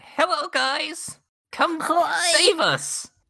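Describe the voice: Putting on a character voice, a man speaks at an extremely high pitch.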